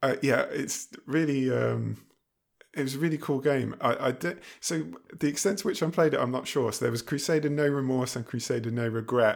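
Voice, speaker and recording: At medium pitch, a man talks fairly quickly with ordinary pitch variation. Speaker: podcast co-host. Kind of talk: casual chat. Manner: hesitant, with frequent fillers.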